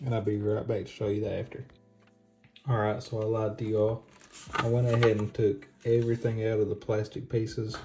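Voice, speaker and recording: Someone with an American accent talks at a fairly quick pace. There is music in the background. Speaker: console restoration YouTuber. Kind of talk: casual tutorial narration.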